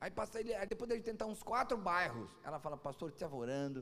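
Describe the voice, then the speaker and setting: A man speaks at a very fast pace. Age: 40s. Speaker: pastor. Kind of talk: sermon. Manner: animated.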